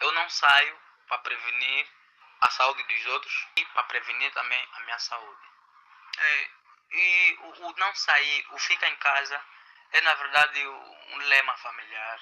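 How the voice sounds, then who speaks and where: A man speaks at a fairly slow pace with long, frequent pauses. His loudness swings widely from moment to moment. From Angola. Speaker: social educator. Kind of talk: interview answers. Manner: halting.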